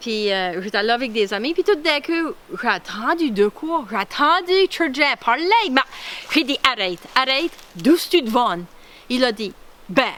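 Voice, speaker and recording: A woman speaks in an Acadian accent with a high pitch and very wide pitch swings. Background noise is noticeable. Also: fairly slow pace. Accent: Baie Sainte-Marie Acadian French. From Acadian Nova Scotia (Clare, Baie Sainte-Marie). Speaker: artist and retired police officer presenting her culture. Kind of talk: cultural presentation. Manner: animated.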